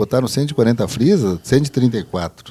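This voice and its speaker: A man talks at a moderate pace, his tone dark and mellow. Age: 60s. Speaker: city councillor. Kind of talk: casual chat.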